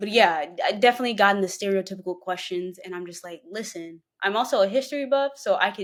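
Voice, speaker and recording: A woman with an American accent and a medium pitch talks at a very fast pace with hardly any pauses, her tone animated, her intonation lively, and her loudness swinging widely. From Mississippi, US Deep South. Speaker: podcast guest, history buff. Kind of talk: casual interview chat.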